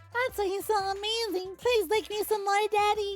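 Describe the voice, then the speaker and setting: A woman uses a put-on character voice at an extremely high pitch. She talks at a moderate pace with faint music in the background. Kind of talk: put-on voice unlike the speaker's own.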